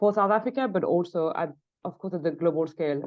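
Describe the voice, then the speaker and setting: Here is a woman with a French accent. She talks at a medium pitch with ordinary pitch variation. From France. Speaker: leopard researcher, conservation project manager. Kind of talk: podcast interview. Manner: hesitant, many fillers and restarts.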